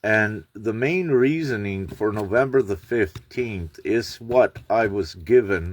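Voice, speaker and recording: Lively intonation runs through this man's medium-pitched voice. He speaks at a very slow pace. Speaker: spiritual channel host. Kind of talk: livestream monologue. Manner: loud; halting, many fillers.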